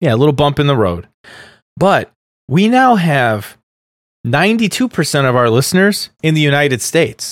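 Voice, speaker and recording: Delivered at a moderate pace with a Midwestern US accent, the voice has an animated tone and very wide pitch swings. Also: man. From US Midwest. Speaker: podcast host. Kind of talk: casual chat. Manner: animated, excitable.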